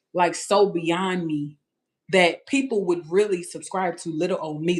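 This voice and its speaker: In a Louisiana accent, the speaker uses an animated tone at a moderate pace. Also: woman. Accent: Louisiana Southern US. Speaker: family vlogger. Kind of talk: livestream chat.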